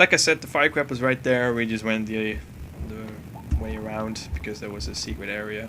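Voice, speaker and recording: With music in the background, a man talks at a fairly low pitch and a fairly slow pace. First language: not English. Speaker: gaming commentator. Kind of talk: game walkthrough commentary. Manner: casual, with fillers.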